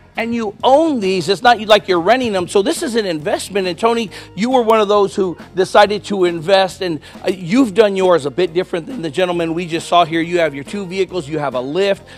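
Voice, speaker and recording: With faint music in the background, a man talks at a fairly quick pace in a high pitch. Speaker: TV reporter. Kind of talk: live news feature commentary. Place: garage. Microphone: handheld.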